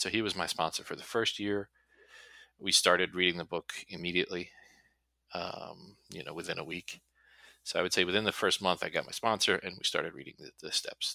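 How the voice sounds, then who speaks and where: Big swings in loudness mark this man's fairly quick speech in an American accent, captured in a very clean recording with a silent background. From New Jersey. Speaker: recovering alcoholic sharing story. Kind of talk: personal testimony interview. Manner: halting, with fillers.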